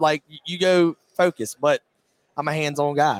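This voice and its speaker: Recorded dry and close with no echo, a man with an American accent uses an ordinary speaking voice, fairly high in pitch with fairly even intonation. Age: 20s. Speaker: race car driver. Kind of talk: interview. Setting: trade show floor.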